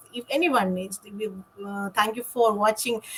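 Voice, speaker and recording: A woman's somewhat breathy, fairly high-pitched voice carries along at a moderate pace. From India. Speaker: online entrepreneur and nurse. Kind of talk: live stream interview.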